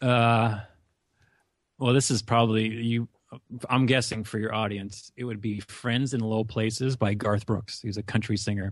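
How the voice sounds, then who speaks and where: Over a quiet background, a man with an American accent speaks at a moderate pace, his medium pitch delivered in a monotone, flat intonation. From US Upper Midwest, North Dakota. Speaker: college advisor and podcaster. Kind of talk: casual interview.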